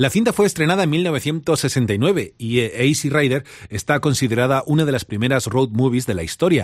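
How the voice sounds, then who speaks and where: A man speaks with a Spanish accent and lively intonation. His tone is warm and upbeat, and the background is quiet. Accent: Spanish from Spain. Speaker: radio host. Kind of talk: radio DJ patter, warm late-night Spanish-language show presenting with music intros. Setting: radio studio. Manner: warm, chatty, upbeat and familiar, with easy laughs.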